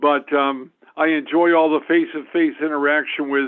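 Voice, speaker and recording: At a moderate pace, a man talks in a monotone, flat intonation with a fairly high pitch. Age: 70s. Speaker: clinical psychologist. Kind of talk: self-introduction at meeting. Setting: phone call on speakerphone. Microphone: speakerphone.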